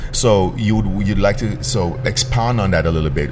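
Over music in the background, a man with a fairly low pitch speaks in an animated tone. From Jamaica. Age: 40s. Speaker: internet radio host. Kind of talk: casual interview. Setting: studio.

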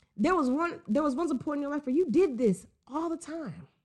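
A woman speaks. The background is quiet. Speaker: podcast host. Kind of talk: solo podcast commentary. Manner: casual, filler-heavy, repetitive.

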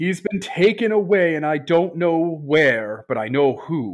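A man's bellowing put-on character voice with very wide pitch swings, set against a quiet background. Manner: bellowing, distraught.

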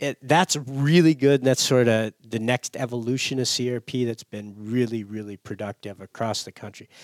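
With an Upper Midwest accent, a man talks at a medium pitch and a moderate pace with ordinary pitch variation. His loudness swings widely, and the sound is dry and close with no echo. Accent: Upper Midwest American. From US Midwest. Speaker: conservation organization staffer. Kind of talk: casual interview chat. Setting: studio.

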